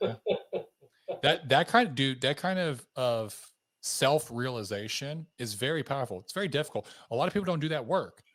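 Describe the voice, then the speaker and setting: An unremarkable male speaking voice, fairly high in pitch, with lively intonation at a moderate pace, on a very clean recording with a silent background. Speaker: podcast host, former army officer. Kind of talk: podcast interview.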